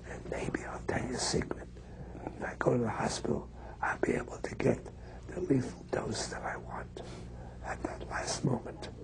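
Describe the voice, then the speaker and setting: Whispering at a moderate pace with long, frequent pauses, the voice carries audible room echo and noticeable background noise. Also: man. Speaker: terminally ill professor. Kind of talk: interview.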